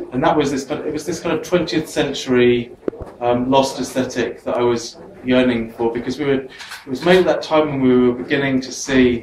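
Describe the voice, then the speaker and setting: In a Welsh accent, a man talks at a fairly quick pace with fairly even intonation and medium pitch. Noticeable background noise sits behind him. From Wales. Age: 40s. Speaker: photographer. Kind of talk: artist talk. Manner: halting; fast.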